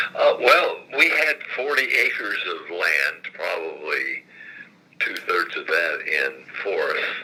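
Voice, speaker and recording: A man speaks in a raised, projected voice with an extremely high pitch and fairly even intonation. His pace is very slow, and noticeable background noise is present. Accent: American. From southern Indiana, Lawrence County. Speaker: retired state legislator. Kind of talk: oral history interview. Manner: halting, many fillers.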